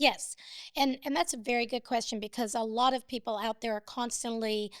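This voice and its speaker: A woman with a plain, everyday voice talks at a fairly quick pace, her pitch fairly high and her intonation fairly even, in a dry, close sound with no echo on a very clean recording with a silent background. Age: 60s. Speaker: business owner. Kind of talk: interview.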